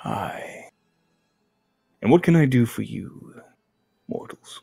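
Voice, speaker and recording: Someone talks at a very slow pace in a put-on character voice. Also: man. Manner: grand, imposing.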